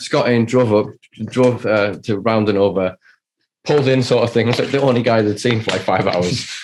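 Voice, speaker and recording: A man with a British accent, medium in pitch, at a fairly quick pace and with ordinary pitch variation. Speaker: cannabis enthusiast podcaster. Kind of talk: casual chat.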